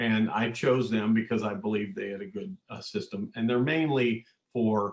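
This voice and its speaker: A man's medium-pitched voice, a plain, everyday voice, with ordinary pitch variation. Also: moderate pace. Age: 60s. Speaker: manufacturing consultant and executive. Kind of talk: podcast interview.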